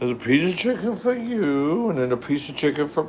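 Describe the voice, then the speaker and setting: Over noticeable background noise, a man talks at a moderate pace in a fairly high pitch, his voice swinging very widely in pitch. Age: 50s. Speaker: livestreamer cooking live. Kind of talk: casual livestream chat. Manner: animated.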